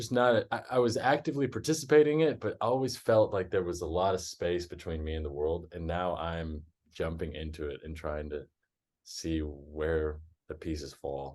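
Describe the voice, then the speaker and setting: A man with a very deep, low voice speaks with lively intonation. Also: moderate pace, quiet background. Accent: American. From Texas. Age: 30s. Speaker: woodworker and traveler. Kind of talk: interview.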